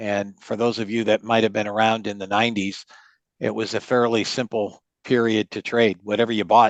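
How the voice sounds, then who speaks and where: The sound is dry and close, with no echo, against a quiet background. A man speaks at a moderate pace and fairly low pitch in a monotone, flat intonation. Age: 60s. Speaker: trading educator. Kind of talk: webinar interview. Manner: halting.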